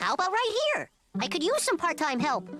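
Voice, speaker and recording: A squeaky, high-pitched cartoonish character voice swings very widely in pitch at a fairly quick pace, with faint music in the background. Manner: breezy, joking.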